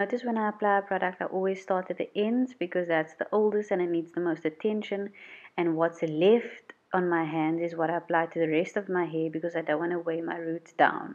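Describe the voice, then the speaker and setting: A woman talks at a fairly quick pace with a South African accent. Her fairly low voice keeps a fairly even intonation. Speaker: beauty YouTuber. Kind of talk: voiceover tutorial.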